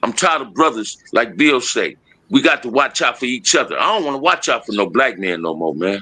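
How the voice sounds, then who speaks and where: The voice moves at a fairly quick pace with an animated, bright, sharp tone, very wide pitch swings and vocal fry. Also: man, medium pitch for a man. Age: 60s. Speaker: former gang member and youth mentor. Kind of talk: live stream conversation. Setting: live video stream.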